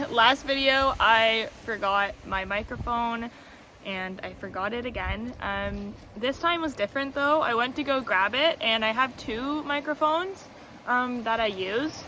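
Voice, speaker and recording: Loud and high-pitched, a woman speaks at a fairly slow pace with ordinary pitch variation. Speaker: tarot content creator. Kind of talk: casual vlog monologue. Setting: outdoors by the ocean. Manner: hesitant, many fillers.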